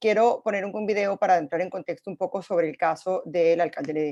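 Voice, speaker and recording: Speaking at a very fast pace with ordinary pitch variation, a woman comes through with a dry, close sound and no echo. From Venezuela. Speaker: moderator. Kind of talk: panel moderation.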